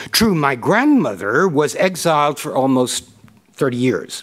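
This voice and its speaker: A man talks at a fairly slow pace, his pitch swinging very widely, with a quiet background behind him. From Turkey, raised partly abroad as diplomat's child. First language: Turkish. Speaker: history professor, keynote speaker. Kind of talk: lecture; Q&A answers. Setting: stage with audience, live-streamed. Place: hall. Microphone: podium.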